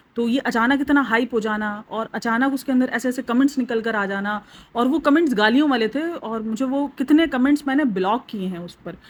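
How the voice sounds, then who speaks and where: A woman with a high voice talks at a moderate speed, her pitch varying in an ordinary way. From Pakistan. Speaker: YouTube reaction vlogger. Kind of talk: casual vlog commentary.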